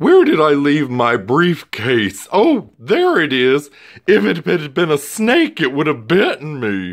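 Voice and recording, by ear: A man uses a put-on character voice with a fairly high pitch. He goes at a fairly slow pace in a very clean recording with a silent background.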